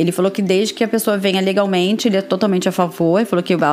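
A woman talks at a very fast pace and a medium pitch with music in the background. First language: Portuguese. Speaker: podcast host, translator and teacher. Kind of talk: casual chat.

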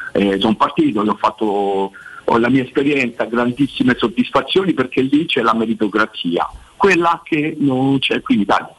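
A man of medium pitch talks at a moderate pace with lively intonation and very even loudness. Noticeable background noise runs underneath. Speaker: football coach. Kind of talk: radio interview about football.

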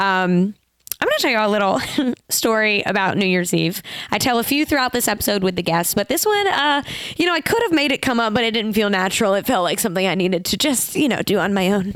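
Very fast, animated woman's speech at a medium pitch, with lively intonation, very even loudness and noticeable background noise. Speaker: podcast host. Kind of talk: casual chat. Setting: studio.

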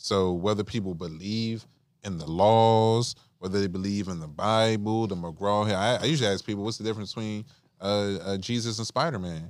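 A man with an American accent and a normal speaking voice, fairly low in pitch, at a moderate pace with ordinary pitch variation, in a very clean recording with a silent background. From Washington DC area. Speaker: podcast guest. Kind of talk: casual chat.

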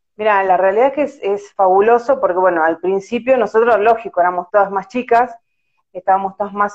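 A woman with a plain, everyday voice, medium pitch, ordinary pitch variation and a fairly quick pace. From Argentina, La Plata. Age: 40s. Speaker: amateur field hockey goalkeeper. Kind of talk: casual interview. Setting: Instagram live video call.

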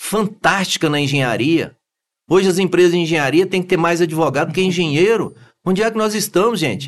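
A high-pitched man at a moderate pace with lively intonation. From Goiás, Brazil (Anápolis). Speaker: engineer and business owner, election candidate. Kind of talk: interview.

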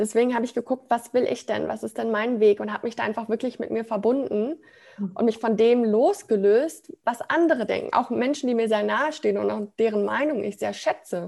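Speaking at a fairly quick pace, a woman has a fairly high pitch with ordinary variation, a dark, mellow tone and vocal fry. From Ruhr area, Germany (Sprockhövel near Bochum). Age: 20s. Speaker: branding consultant, self-employed. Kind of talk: personal testimony in interview.

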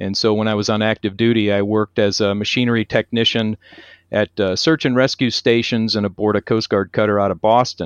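In a plain, everyday voice with an American accent, a man talks at a fairly quick pace with fairly low pitch and fairly even intonation, the sound dry and close with no echo against a quiet background. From US Northeast, Connecticut. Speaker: maintenance and reliability consultant, author, Coast Guard veteran. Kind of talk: interview.

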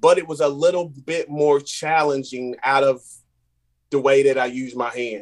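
An unremarkable speaking voice with an American accent, at a fairly slow pace. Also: man, dry, close sound with no echo. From North Carolina. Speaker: artist, muralist. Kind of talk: casual interview.

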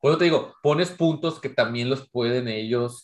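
A man with a Mexican accent talks at a fairly slow pace. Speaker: podcast co-host. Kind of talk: casual chat.

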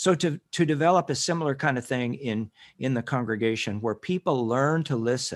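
A man with an American accent, medium in pitch, with ordinary pitch variation, at a fairly quick pace, on a very clean recording against a silent background. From rural Kansas, US (some boyhood in Northwest Texas). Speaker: minister and ministry director. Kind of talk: interview. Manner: measured, with frequent fillers.

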